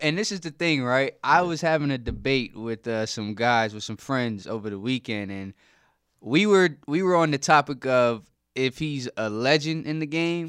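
Recorded very cleanly against a silent background, a man with an American accent talks at a moderate pace with lively intonation in a normal speaking voice. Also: medium pitch for a man. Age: 20s. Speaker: podcast co-host. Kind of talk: casual chat.

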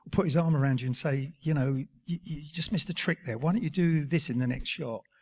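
Rushing at a very fast pace, a man sounds somewhat breathy and keeps his intonation fairly even. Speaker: actor. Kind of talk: live Q&A on stage. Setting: stage with audience.

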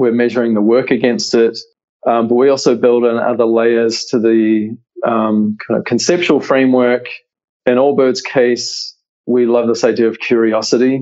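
A man with a New Zealand accent, fairly even intonation and very even loudness. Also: medium pitch for a man, moderate pace. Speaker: creative director. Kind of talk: interview.

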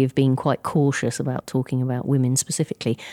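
A woman with an English accent talks very fast in a very deep, low voice with a dark, mellow tone. The sound is dry and close, with no echo. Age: 50s. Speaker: insurance industry chief executive. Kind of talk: interview. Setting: live event. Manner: halting, many fillers.

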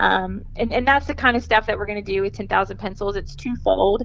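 A woman with a Southern US accent, music playing in the background. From Mississippi, Jackson area. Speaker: academic counselor. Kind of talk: interview.

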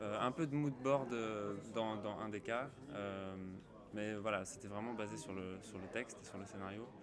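A man talks fairly slowly, his intonation fairly even, with audible room echo and noticeable background noise. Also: fairly low pitch for a man. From Finland, half French. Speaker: film composer. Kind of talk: interview. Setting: film festival.

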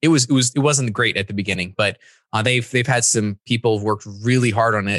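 A man with a plain, everyday voice, fairly low in pitch, fairly quick in pace, with fairly even intonation, a dry, close sound with no echo, and a quiet background. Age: 30s. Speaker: e-commerce developer and trainer. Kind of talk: casual interview.

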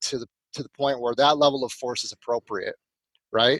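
An ordinary speaking voice moving at a fairly quick pace, with a dry, close sound and no echo. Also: man. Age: 40s. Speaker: self-defense instructor and mental training coach. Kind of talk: casual interview.

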